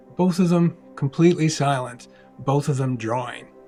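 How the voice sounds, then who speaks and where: With music in the background, a man talks at a moderate pace and ordinary pitch variation. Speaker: cartoonist. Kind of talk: scripted personal video essay narration. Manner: reflective, emotional.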